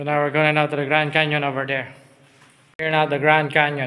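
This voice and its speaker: This is a man speaking. He keeps a moderate pace. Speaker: cave guide. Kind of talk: tour guide commentary. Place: tunnel cave. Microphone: phone near.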